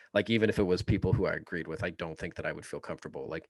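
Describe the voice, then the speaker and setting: A man talks with a slight Southern US accent. His pitch is very deep and low. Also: very clean recording, silent background. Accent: slight drawl. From Kansas. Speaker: political podcast co-host. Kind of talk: casual chat. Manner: fast.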